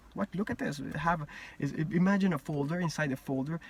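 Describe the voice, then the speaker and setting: Noticeable background noise beneath fairly quick speech. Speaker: vlogger sharing personal theories. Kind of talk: casual monologue. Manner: halting, frequent repetitions and restarts.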